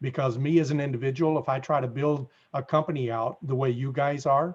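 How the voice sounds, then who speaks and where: A man with a Southern US accent talks at a moderate pace in a medium pitch. His voice is somewhat breathy, with fairly even intonation. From US South. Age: 60s. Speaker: apartment investor network founder. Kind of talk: interview.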